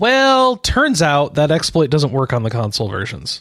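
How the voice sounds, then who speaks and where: A moderate pace and a dry, close sound with no echo in an unremarkable speaking voice. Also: man. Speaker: podcast host. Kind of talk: casual chat.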